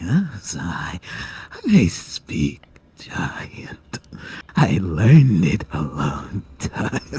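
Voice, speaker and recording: A whispered, put-on character voice at a very slow pace, with long, frequent pauses and big swings in loudness. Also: man. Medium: actual play. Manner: broken simple English, giggling.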